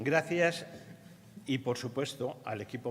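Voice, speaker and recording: A man is heard here. His pitch shows ordinary variation. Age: 60s. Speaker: retired university staff member. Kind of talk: ceremonial speech.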